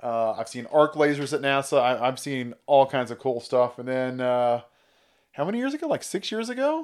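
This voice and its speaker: A man's normal speaking voice with an American accent, fairly high in pitch, with ordinary pitch variation at a moderate pace. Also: very clean recording, silent background. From California. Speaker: business partner and operations manager. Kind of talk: casual chat.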